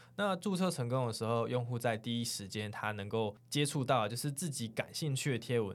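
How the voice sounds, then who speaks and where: Against a silent background in a very clean recording, a man speaks at a moderate pace in a medium pitch. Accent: Taiwanese. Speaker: podcast host. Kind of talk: casual chat. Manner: animated.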